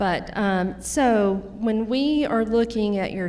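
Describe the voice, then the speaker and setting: A woman talks with a strong Louisiana accent. Her tone is dark and mellow, with ordinary pitch variation. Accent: thick Louisiana Southern. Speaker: nurse practitioner. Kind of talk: educational talk.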